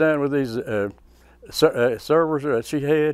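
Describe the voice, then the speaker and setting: The man's pitch is fairly high, with ordinary variation, and his pace is moderate. It is a very clean recording with a silent background. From West Virginia. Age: 70s. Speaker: war veteran. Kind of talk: interview.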